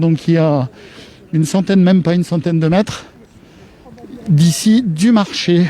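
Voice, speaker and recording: Over noticeable background noise, a high-pitched man speaks at a fairly slow pace with ordinary pitch variation. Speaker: web TV presenter. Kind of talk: live outdoor broadcast. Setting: outdoors at a market. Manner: animated.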